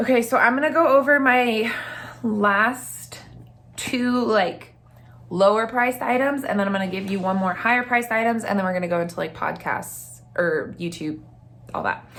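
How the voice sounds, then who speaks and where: An animated woman's voice, fairly high-pitched, with lively intonation at a moderate pace and audible room echo. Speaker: lifestyle YouTuber. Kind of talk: casual product review vlog. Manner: chatty, animated.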